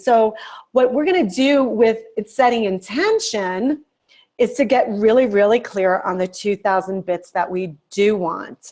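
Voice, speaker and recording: Against a quiet background, a woman with a fairly high pitch and an animated tone speaks at a moderate pace with ordinary pitch variation. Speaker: executive coach. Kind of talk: lecture. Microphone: webcam.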